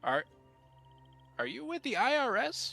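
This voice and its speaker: A man does a put-on character voice at an extremely high pitch. He keeps a moderate pace over faint background music. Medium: actual play. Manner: slow, inverted and cryptic phrasing.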